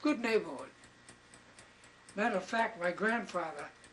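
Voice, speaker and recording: A high-pitched man at a moderate pace, with ordinary pitch variation and noticeable background noise. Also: long, frequent pauses. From Maine, Bangor. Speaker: elderly local resident. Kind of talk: interview, oral history recollection. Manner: halting, repeats words.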